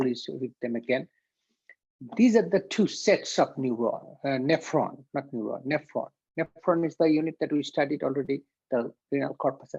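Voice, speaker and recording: This man talks at a moderate pace with a fairly high pitch and ordinary pitch variation. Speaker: anatomy and physiology instructor. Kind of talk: lecture. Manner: halting.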